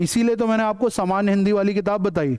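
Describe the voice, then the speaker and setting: A man with a high pitch and a dark, mellow tone is heard in a dry, close sound with no echo. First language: English-medium background, weak Hindi (speaking Hindi). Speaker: civil services exam teacher. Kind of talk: lecture.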